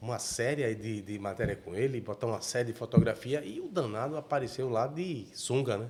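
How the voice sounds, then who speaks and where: At a moderate pace, a man speaks with medium pitch and ordinary pitch variation, sounding somewhat breathy. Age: 60s. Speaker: journalist, podcast host. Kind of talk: interview.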